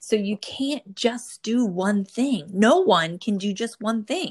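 A woman speaks with an American accent in a plain, everyday voice at a medium pitch, her intonation lively. The recording is very clean, with a silent background. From New Jersey. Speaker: podcast host, pharma professional. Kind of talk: casual interview.

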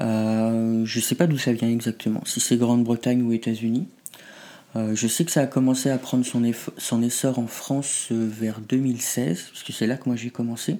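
At a moderate pace, a man talks with fairly even intonation. He has a normal speaking voice with medium pitch. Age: 30s. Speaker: pup play practitioner. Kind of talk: interview.

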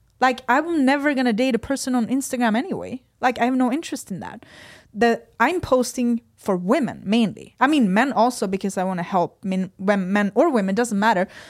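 A woman speaks in a Swedish accent at a fairly high pitch, with lively intonation and a fairly quick pace. The recording is very clean, with a silent background. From Sweden. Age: 30s. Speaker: fitness athlete. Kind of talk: podcast interview. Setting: studio.

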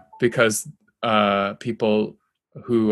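A man's fairly low-pitched voice with a bright, sharp tone and an American accent, in a very clean recording with a silent background. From US Midwest, Kansas. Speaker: meteorologist and climate journalist. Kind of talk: casual interview conversation. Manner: calm.

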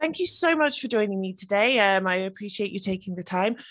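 An unremarkable speaking voice with lively intonation. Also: woman. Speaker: podcast host. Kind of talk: scripted intro; interview.

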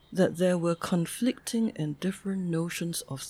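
A somewhat breathy woman at a moderate pace, in a very clean recording with a silent background. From Singapore. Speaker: sociologist and graduate school dean. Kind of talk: interview.

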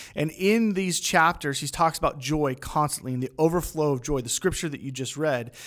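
A man with a plain, everyday voice and a fairly high pitch talks at a fairly quick pace with hardly any pauses and ordinary pitch variation, in a very clean recording with a silent background. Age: 30s. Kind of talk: casual faith discussion.

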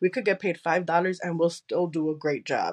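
Against a quiet background, a woman talks at a fairly low pitch. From Chicago, US. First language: Spanish. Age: 20s. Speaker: podcast host and content creator. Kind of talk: casual interview chat. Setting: remote recording.

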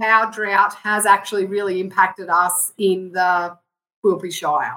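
Speaking with a rural Australian accent, a woman's voice sits at a medium pitch. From southwest Queensland, Australia. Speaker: consultant and rural business advocate. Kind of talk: casual interview chat. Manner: animated.

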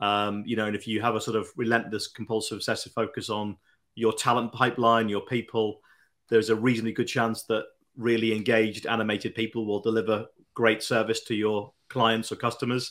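At a fairly quick pace and medium pitch, a man speaks with flat, monotone intonation in a very clean recording with a silent background. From northwest England (the Wirral, near Liverpool). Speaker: business founder. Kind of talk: interview. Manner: hesitant with many fillers.

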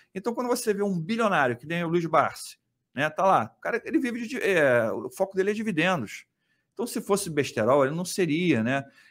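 Speaking at a fairly quick pace in a Rio de Janeiro accent, a high-pitched man makes very wide pitch swings. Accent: carioca (Rio). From Rio de Janeiro state (Niterói), Brazil. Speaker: economist and investment YouTuber. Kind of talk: casual interview. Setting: studio, livestreamed.

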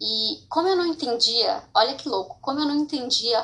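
With a bright, sharp tone, a woman speaks at a fairly slow pace and ordinary pitch variation. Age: 20s. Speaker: podcaster sharing personal mental health story. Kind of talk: personal testimony. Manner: informal, hesitant with fillers.

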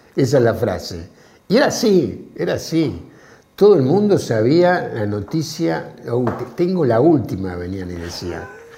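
Over noticeable background noise and audible room echo, a man of medium pitch talks fairly slowly with very wide pitch swings. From Argentina, small town. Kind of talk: casual chat.

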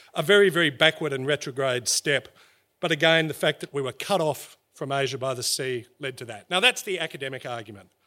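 Lively in intonation, a man with a fairly high pitch and a bright, sharp tone speaks at a moderate pace. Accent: Australian. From Australia. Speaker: historian. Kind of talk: storytelling talk. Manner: animated.

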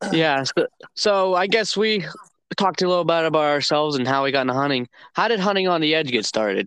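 In a Midwestern American accent, a man talks at a very fast pace with lively intonation, a fairly high pitch, and very even loudness, recorded dry and close with no echo over a quiet background. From Northeast Ohio. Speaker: college student and hunter, co-host. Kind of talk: casual chat. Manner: halting, many filler words.

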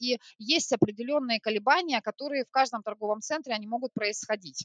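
A woman's fairly high voice, a plain, everyday voice, at a moderate pace with ordinary pitch variation and a dry, close sound with no echo. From Siberia, Krasnoyarsk. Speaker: retail store manager. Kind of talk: corporate podcast interview.

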